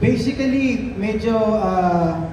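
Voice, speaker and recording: A man's voice carries audible room echo. Noticeable background noise is present too. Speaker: actor on a press panel. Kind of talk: interview answer. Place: hall.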